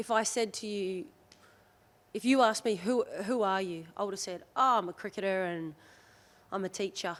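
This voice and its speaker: Over a very clean recording with a silent background, a woman speaks at a medium pitch with long, frequent pauses. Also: ordinary pitch variation, moderate pace. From Australia. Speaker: rugby league player. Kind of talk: casual chat.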